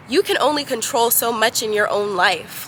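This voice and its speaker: A woman speaks at a fairly slow pace with noticeable background noise. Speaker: vlogger. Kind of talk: casual monologue to camera. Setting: outdoors on a roof. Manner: casual, filler-heavy.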